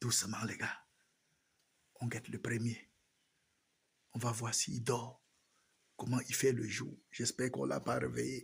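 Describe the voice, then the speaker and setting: Soft-spoken, with vocal fry, a man speaks at a fairly slow pace and medium pitch, with ordinary pitch variation and long, frequent pauses. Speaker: rabbit farmer. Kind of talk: farm tour vlog.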